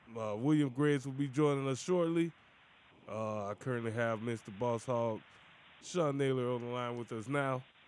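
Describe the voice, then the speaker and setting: At a moderate pace, a man speaks in an energetic, upbeat tone at medium pitch with ordinary pitch variation. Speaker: radio host. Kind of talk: live sports talk radio show, patter. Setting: studio. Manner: energetic, upbeat radio-DJ patter; casual, conversational, with filler words.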